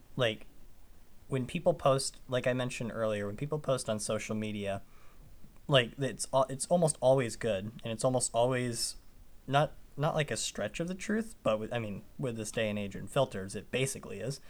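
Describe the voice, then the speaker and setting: An unremarkable speaking voice, this man talks at a moderate pace and medium pitch with ordinary pitch variation, in a very clean recording with a silent background. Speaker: podcast host. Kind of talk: casual chat.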